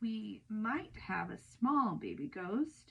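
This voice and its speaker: Speaking at a very slow pace, a woman uses a put-on character voice with a fairly high pitch. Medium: read story. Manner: loud, blustering.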